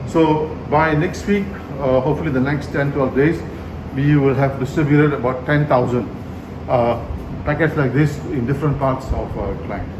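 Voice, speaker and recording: Through noticeable background noise, a man talks at a moderate pace and fairly high pitch with ordinary pitch variation. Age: 60s. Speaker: politician. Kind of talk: interview answer.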